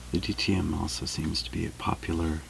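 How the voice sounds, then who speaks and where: A soft-spoken man is whispering amid noticeable background noise. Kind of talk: ASMR soft-spoken chit chat. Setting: close boom microphone, studio-like. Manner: soft-spoken, whispered.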